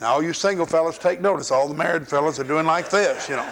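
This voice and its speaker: With an American accent, a man talks at a fairly quick pace and ordinary pitch variation. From US South. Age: 60s. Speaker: pastor. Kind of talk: sermon. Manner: animated.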